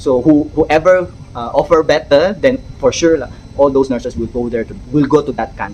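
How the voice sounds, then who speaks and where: A fairly quick delivery comes with noticeable noise in the background. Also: man. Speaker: nurse and vlogger. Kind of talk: casual vlog monologue. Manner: fast; halting.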